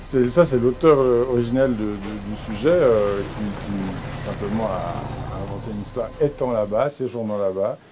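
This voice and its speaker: Noticeable background noise sits behind the voice. The delivery is fairly slow. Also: man, medium pitch for a man, ordinary pitch variation. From Switzerland. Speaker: film producer. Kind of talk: interview. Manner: halting, many fillers.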